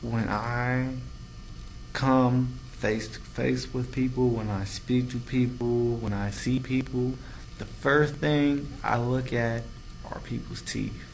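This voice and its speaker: A man talks at a very slow pace and a medium pitch, with monotone, flat intonation. There is audible room echo. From US Midwest, Cincinnati, Ohio. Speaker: vlogger, theater student. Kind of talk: casual vlog monologue. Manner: slow, deliberate enunciation; halting, many fillers.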